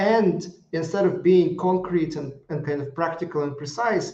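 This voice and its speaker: A man with a non-native accent has a high pitch, a dark, mellow tone and fairly even intonation. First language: not English. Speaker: risk management consultant. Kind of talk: live video review. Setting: live broadcast. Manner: halting, many fillers and restarts.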